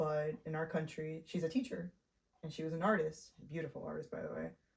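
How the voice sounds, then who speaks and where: At a moderate pace, a woman talks with a very deep, low pitch and a somewhat breathy sound. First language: Spanish. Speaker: independent filmmaker. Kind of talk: casual interview.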